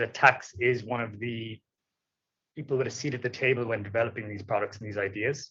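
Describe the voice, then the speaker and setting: A man with an Irish accent talks at a medium pitch with fairly even intonation. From Ireland. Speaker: tax manager, panelist. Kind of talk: conference panel talk.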